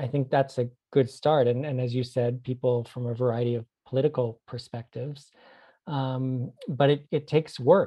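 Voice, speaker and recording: A man with an American accent speaks at medium pitch, somewhat breathy, with fairly even intonation. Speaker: anthropology professor. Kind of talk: interview.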